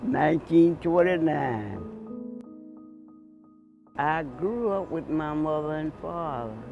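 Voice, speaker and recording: A man speaks at a very slow pace in a fairly high pitch, with ordinary pitch variation. Noticeable background noise can be heard. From Georgia, USA. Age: 80s+. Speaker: grandfather telling his life story. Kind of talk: interview answer, personal memoir.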